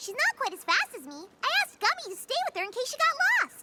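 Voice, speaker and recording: A squeaky, bubbly cartoonish character voice rattles along at a fairly quick pace. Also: female-sounding voice, extremely high pitch for a woman. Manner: fast, bubbly, high-energy.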